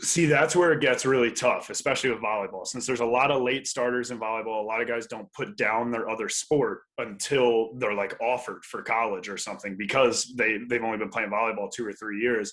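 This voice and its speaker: With an unremarkable speaking voice, an American-accented man talks at a fairly quick pace and medium pitch, his intonation fairly even and with hardly any pauses. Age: 20s. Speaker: professional volleyball player. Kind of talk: casual chat. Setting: podcast interview.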